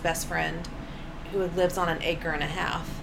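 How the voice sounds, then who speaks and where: Moderate-paced speech in an American accent, monotone and flat, with audible room echo and noticeable background noise. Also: woman. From Oklahoma (Bartlesville). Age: 40s. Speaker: stand-up comedian. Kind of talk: casual chat. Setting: apartment, in person.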